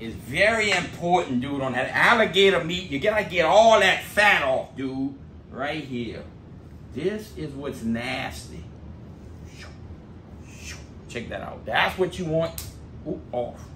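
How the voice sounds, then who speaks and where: The talk moves at a fairly slow pace, with long, frequent pauses and big swings in loudness. Noticeable background noise runs underneath. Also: man. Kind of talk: casual cooking vlog chat. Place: garage. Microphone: camera far.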